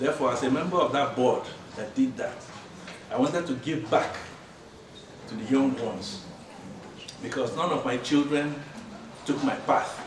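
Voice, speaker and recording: Over noticeable background noise and audible room echo, a man speaks at a moderate pace in a fairly high voice with ordinary pitch variation and long, frequent pauses. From Nigeria (southeast, Owerri area). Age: 70s. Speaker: retired pathologist, alumnus at reunion. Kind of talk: reunion self-introduction speech.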